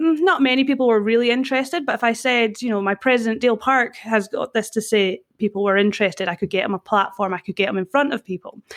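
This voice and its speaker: With a Scottish accent, a woman talks very fast with hardly any pauses, her pitch fairly high, the sound dry and close with no echo over a quiet background. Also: ordinary pitch variation. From Scotland. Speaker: personal brand consultant. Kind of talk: podcast interview.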